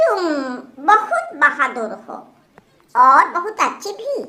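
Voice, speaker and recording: A cartoonish character voice, female-sounding and extremely high-pitched, with very wide pitch swings at a fairly slow pace. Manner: earnest, trusting.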